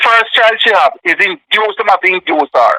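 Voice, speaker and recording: A man projects a raised, high-pitched voice with a bright, sharp tone. The sound is dry and close, with no echo. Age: 50s. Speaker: bereaved father. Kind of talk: interview.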